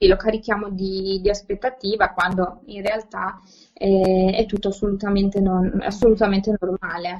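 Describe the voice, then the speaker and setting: A woman's voice sits at a medium pitch and moves at a moderate pace. Her intonation is monotone and flat. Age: 20s. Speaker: educator, learning disorders specialist. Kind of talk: podcast interview. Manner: halting, many repetitions and fillers.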